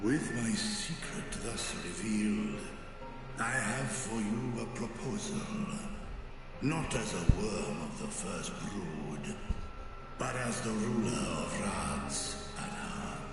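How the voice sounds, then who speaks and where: A man uses a put-on character voice at medium pitch and a very slow pace. Strong echo and loud background noise fill the recording. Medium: machinima. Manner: archaic, solemn, dignified.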